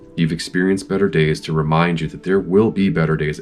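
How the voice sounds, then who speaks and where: Music plays in the background. A man talks with a very deep, low pitch and lively intonation. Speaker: parent. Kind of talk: reflective motivational talk. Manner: unscripted, with fumbles.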